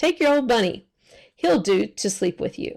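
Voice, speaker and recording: In a put-on character voice, a woman sounds raspy at a fairly high pitch, swinging very widely in pitch at a moderate pace. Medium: read story. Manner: brisk, impatient.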